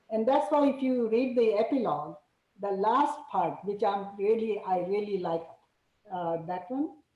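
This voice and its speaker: With audible room echo, a woman speaks in a dark, mellow tone at a medium pitch, her intonation lively. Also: fairly slow pace. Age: 70s. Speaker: author. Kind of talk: book club talk.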